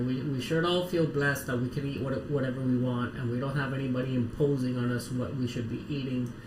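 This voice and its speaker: A man speaks in an excited tone, with noticeable background noise and audible room echo. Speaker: live streamer building lego. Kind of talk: casual livestream chat. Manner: quiet unless excited.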